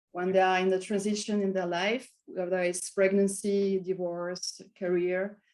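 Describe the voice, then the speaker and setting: A woman speaks at medium pitch with a strong French accent. Her pace is fairly slow against a quiet background. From France. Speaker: wellness and meditation coach. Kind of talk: interview conversation. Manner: halting.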